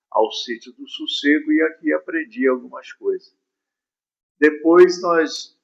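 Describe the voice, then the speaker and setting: A man's voice at a very slow pace. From Brazilian Northeast, Ceará. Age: 70s. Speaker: pastor. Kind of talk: interview.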